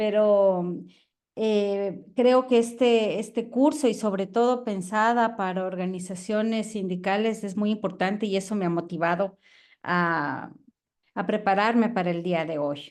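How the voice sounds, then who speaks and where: Woman with an Ecuadorian accent over a quiet background. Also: medium pitch for a woman, ordinary pitch variation, fairly slow pace. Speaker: professor, biologist and environmental activist. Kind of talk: online lecture.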